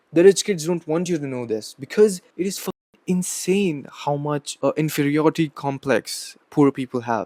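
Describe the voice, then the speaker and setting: At a moderate pace, a man with a fairly high pitch, a dark, mellow tone and ordinary pitch variation speaks in a dry, close sound with no echo. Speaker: motivational YouTuber. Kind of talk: motivational monologue. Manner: animated, profane rant.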